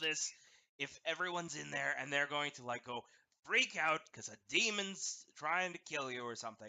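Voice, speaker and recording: A man puts on a character voice at a fairly high pitch. He keeps a moderate pace. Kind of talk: demonic voice. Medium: actual play. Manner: impatient, blunt.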